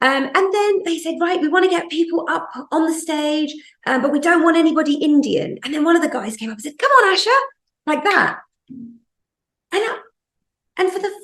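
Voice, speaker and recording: With very wide pitch swings and an animated tone, a woman speaks at an extremely high pitch and a moderate pace in a British accent. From UK. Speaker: podcast host, magazine editor. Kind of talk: casual interview chat. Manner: animated storytelling.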